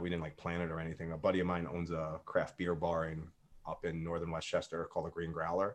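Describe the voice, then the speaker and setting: Over a quiet background, a man with an American accent talks very fast in a very deep, low voice. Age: 40s. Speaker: punk musician. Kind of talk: casual interview.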